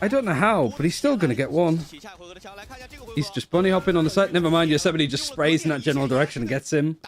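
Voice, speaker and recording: Over music in the background, a man talks at a very fast pace. His pitch is fairly high and his intonation lively. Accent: northern English. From northern England. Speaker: esports caster. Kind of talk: live commentary. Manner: animated.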